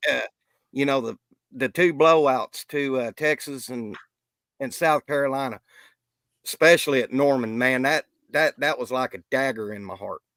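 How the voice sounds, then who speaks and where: A man with a fairly high pitch speaks at a moderate pace with ordinary pitch variation, big swings in loudness, and long, frequent pauses, in a dry, close recording with no echo. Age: 60s. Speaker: podcast guest, football fan. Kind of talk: casual sports discussion.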